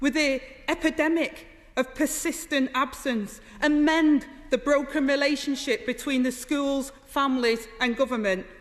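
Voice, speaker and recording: A woman speaks with a high pitch at a moderate pace. Her pitch varies in an ordinary way. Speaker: politician. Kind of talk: parliamentary debate speech.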